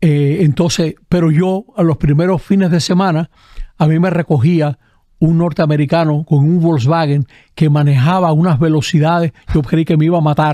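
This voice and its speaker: A man's fairly high voice, dark and mellow in tone, comes through dry and close with no echo, with very even loudness and fairly even intonation. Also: moderate pace. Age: 70s. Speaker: Jesuit priest and historian. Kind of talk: casual chat.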